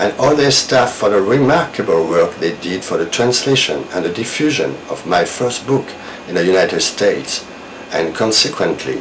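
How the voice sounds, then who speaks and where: A man with a French accent and a fairly low pitch talks at a moderate pace with lively intonation, amid audible room echo and noticeable background noise. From France. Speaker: novelist. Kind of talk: recorded video message; reading aloud. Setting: video recording.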